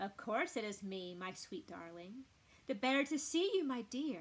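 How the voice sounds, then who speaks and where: A woman speaks at a moderate pace in a put-on character voice with a fairly high pitch. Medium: read story.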